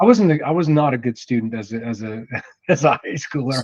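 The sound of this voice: Lively intonation and a fairly quick pace carry this voice with an American accent. Its tone is slightly mellow, with a slightly husky edge. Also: man, medium pitch for a man.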